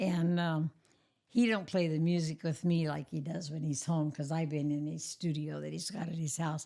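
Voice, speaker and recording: A woman with an American accent speaks at a fairly slow pace in a very deep, low pitch. Her tone is dark and mellow, with fairly even intonation. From Oklahoma. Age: 90s. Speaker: elderly interviewee, church pianist. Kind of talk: casual interview, life stories.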